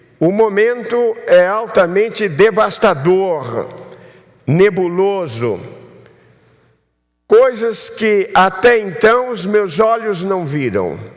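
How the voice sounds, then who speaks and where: With audible room echo, a high-pitched man speaks at a very slow pace, with long, frequent pauses and ordinary pitch variation. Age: 70s. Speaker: pastor. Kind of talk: sermon.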